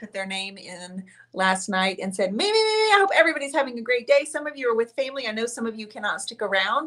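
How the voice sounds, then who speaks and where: Here is a woman speaking. Her pitch is fairly high. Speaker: painting artist and channel host. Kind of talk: live-stream painting show with giveaway. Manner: chatty, warm. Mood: cheerful, festive. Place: studio.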